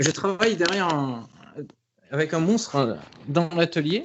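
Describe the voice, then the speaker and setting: Fairly high in pitch, a man speaks at a fairly slow pace with ordinary pitch variation. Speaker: comic book artist. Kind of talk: casual interview. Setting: home studio. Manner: halting, many fillers.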